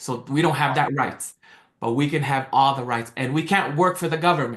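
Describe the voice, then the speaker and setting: Talking at a fairly quick pace, a man with an American accent shows ordinary pitch variation. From American Samoa. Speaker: real estate investor. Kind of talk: interview. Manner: halting, many repeated words.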